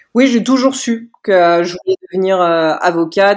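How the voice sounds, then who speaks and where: Delivered at a fairly slow pace, a plain, everyday voice moves with ordinary pitch variation. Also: woman. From Paris region, France. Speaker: lawyer. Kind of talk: interview.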